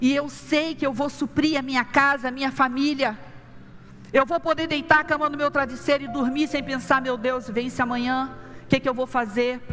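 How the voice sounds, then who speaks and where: A woman speaks with a high pitch at a moderate pace. Her intonation stays fairly even. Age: 60s. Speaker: pastor. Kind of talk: sermon.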